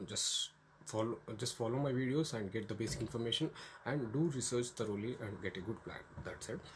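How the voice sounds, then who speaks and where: A man with an Indian accent talks at a fairly quick pace, his voice somewhat breathy. His pitch varies in an ordinary way. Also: medium pitch for a man. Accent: Indian English, Telugu. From India, Telugu-speaking region. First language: Telugu. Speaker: YouTuber giving study-abroad advice. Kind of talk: informal tutorial vlog. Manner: halting, many fillers.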